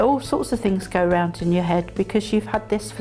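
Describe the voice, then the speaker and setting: A woman talks at a moderate pace with music behind her. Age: 60s. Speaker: patient. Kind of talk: interview answer. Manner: hesitant, casual.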